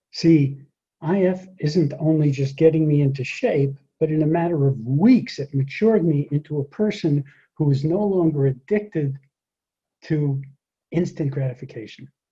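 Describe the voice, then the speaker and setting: This man's voice is fairly high in pitch, somewhat breathy, and dark and mellow in tone. He talks at a moderate pace with ordinary pitch variation against a quiet background. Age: 70s. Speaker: speaker and public speaking coach; speaker, public speaking coach. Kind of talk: talk to an audience. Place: garden. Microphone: webcam.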